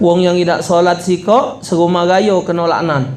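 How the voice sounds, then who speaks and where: A man with a Palembang accent speaks at a high pitch and a moderate pace. Audible room echo and noticeable background noise are present. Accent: Palembang Malay. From Indonesia, Palembang (South Sumatra). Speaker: Islamic preacher. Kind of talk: humorous sermon. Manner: animated.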